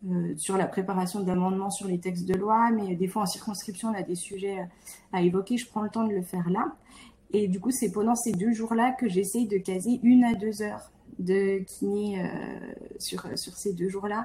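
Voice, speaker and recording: A woman speaks at a moderate pace and medium pitch with fairly even intonation. Her tone is dark and mellow and somewhat breathy. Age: 30s. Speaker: physiotherapist and member of parliament. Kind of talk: interview conversation.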